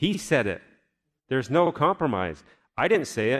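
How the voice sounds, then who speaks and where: A man's fairly high voice with vocal fry and very wide pitch swings, at a moderate pace, on a very clean recording with a silent background. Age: 40s. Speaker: pastor. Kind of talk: sermon. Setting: church.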